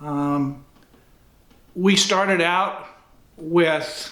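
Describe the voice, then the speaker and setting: A man talks at a high pitch with a bright, sharp tone. His intonation stays fairly even, and audible room echo surrounds him. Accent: Midwestern US. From northern Indiana. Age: 70s. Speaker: retired athletic director. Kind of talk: oral history interview. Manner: halting, with fillers.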